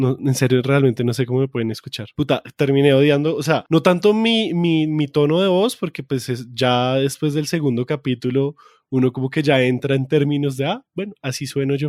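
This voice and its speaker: A man with a Bogotá accent speaks at a moderate pace in a fairly high pitch, with ordinary pitch variation, hardly any pauses, and a dry, close sound on a very clean recording with a silent background. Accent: Bogotá rolo. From Bogotá, Colombia. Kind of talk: casual, colloquial, profane.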